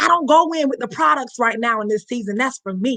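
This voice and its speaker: In a raised, projected voice, a woman speaks at a high pitch with a bright, sharp tone and ordinary pitch variation. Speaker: network marketing team leader. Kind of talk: motivational training talk. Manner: fast; animated.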